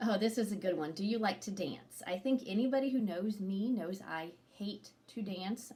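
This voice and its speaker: A somewhat breathy, dark, mellow tone at a moderate pace with ordinary pitch variation. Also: woman. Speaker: activity leader. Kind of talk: casual chat.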